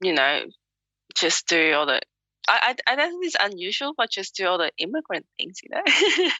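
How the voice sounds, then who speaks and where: In a Hong Kong accent, a woman talks at a moderate pace with big swings in loudness. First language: Cantonese. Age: young. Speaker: author. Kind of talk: interview.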